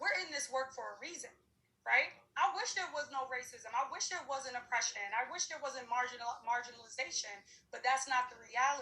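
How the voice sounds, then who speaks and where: A woman with a high pitch projects a raised voice in an animated, bright, sharp tone, talking at a fairly quick pace with ordinary pitch variation and big swings in loudness. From New York City, Harlem. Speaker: diversity and inclusion practitioner. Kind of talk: panel discussion.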